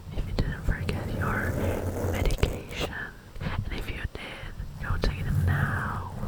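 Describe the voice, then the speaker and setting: Someone whispers at a fairly slow pace with long, frequent pauses, and there is noticeable background noise. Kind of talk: ASMR talking video. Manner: soft-spoken.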